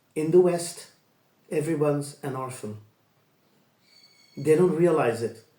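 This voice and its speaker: Amid audible room echo, a man speaks at a fairly high pitch with a dark, mellow tone and ordinary pitch variation. His pace is fairly slow, with long, frequent pauses and big swings in loudness. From international upbringing, Asia and Europe. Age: 60s. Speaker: life coach and storyteller. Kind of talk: personal monologue.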